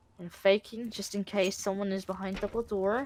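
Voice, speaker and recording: Noticeable background noise sits under this recording. A woman speaks at a moderate pace in a medium pitch. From Netherlands. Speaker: esports caster. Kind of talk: live commentary. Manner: animated.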